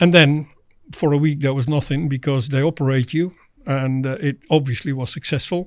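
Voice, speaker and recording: With a Dutch accent, a man speaks at a fairly high pitch. His intonation is fairly even and his pace moderate. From Netherlands. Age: 60s. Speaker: former international angler. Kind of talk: podcast interview, personal story.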